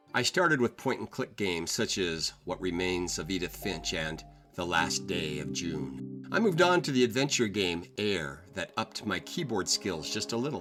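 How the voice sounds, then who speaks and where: Music plays behind a man with a very deep, low voice. His pitch swings very widely, and he hardly pauses at all. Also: moderate pace. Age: 60s. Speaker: grandfather gamer. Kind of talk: personal reflective voiceover narration.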